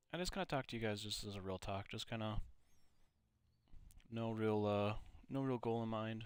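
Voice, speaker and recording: In a very clean recording with a silent background, a man with an American accent talks at a moderate pace in a fairly low pitch. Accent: Minnesota accent, noticed by others. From Minnesota, US. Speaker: gaming YouTuber. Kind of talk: casual chat while playing a game. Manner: casual, many fillers.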